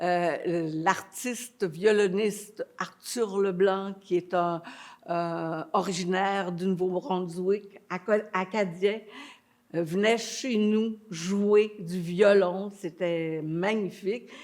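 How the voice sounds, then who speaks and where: Speaking very slowly, a woman keeps her intonation fairly even. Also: medium pitch for a woman. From Quebec, Montreal. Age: 80s+. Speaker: actress and theatre director. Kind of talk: interview.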